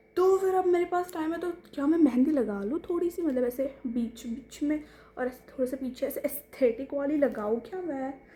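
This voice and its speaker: A woman speaks with a Marathi accent at a high pitch and a moderate pace. Her intonation is lively, she hardly pauses, and background noise is noticeable. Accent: non-fluent Hindi, Marathi speaker. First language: Marathi (speaking Hindi). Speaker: vlogger. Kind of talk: casual vlog talk to camera.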